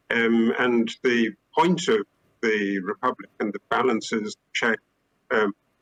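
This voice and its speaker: Heard with a dry, close sound and no echo, a man with a British accent speaks at a very slow pace. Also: medium pitch for a man, ordinary pitch variation. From UK. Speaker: historian and academic panelist. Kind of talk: panel discussion. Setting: theater stage, live-streamed. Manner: hesitant, many fillers.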